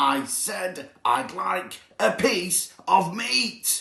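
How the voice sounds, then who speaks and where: Bellowing loudly in a put-on character voice, a man speaks at high pitch and a very slow pace. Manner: roaring, loud.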